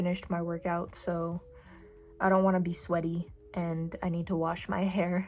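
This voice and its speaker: A woman at a moderate pace with monotone, flat intonation, music in the background. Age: young. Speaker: new vlogger. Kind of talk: casual vlog. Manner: casual, filler words.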